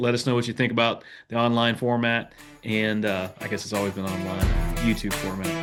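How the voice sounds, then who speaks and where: Over background music, a man's words come at a fairly quick pace. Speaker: podcast host. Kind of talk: casual interview. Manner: rambling.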